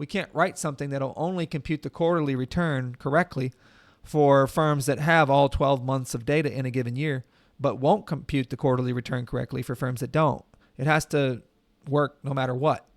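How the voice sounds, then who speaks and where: Delivered at a fairly quick pace with fairly even intonation, an ordinary speaking voice comes through with a dry, close sound and no echo. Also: man, fairly high pitch for a man. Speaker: professor teaching Matlab. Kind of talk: tutorial.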